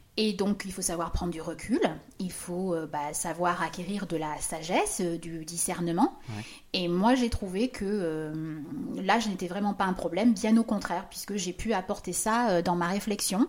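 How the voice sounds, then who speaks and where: The delivery comes in a normal speaking voice at a fairly slow pace. Pitch variation is ordinary. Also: woman, medium pitch for a woman. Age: 50s. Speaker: business consultant. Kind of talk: casual chat.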